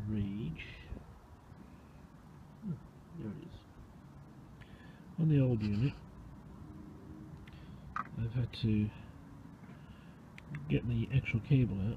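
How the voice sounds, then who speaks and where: Dark, mellow male voice at medium pitch, somewhat breathy, with lively intonation, big swings in loudness, a fairly slow pace and long, frequent pauses. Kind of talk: DIY car repair tutorial. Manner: casual.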